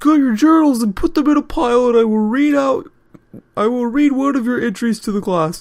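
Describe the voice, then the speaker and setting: Putting on a character voice, a man speaks at a fairly quick pace in an extremely high pitch. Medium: read story.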